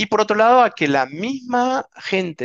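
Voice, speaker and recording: A man speaks with an Argentine accent against a quiet background. The sound is dry and close with no echo. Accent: Argentine Spanish, similar to host's. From Argentina, Mendoza. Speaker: winery director. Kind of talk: interview.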